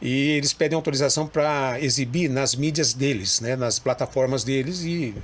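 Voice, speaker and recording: A man with a plain, everyday voice speaks at a fairly high pitch and a moderate pace, with ordinary pitch variation. His loudness stays very even, and there are hardly any pauses. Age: 60s. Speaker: radio broadcaster and amateur historian. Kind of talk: interview. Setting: TV studio.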